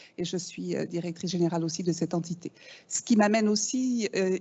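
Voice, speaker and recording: Here a woman speaks with a slight Canadian French accent. Her intonation stays fairly even. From Canada (Quebec). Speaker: business school executive. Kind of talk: welcome speech. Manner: hesitant, many fillers.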